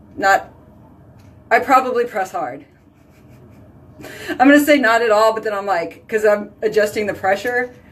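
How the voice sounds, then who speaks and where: A woman's fairly high voice at a moderate pace, with ordinary pitch variation, long, frequent pauses and noticeable background noise. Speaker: skincare consultant and live video host. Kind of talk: casual chat, live video storytelling. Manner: loud and boisterous; animated.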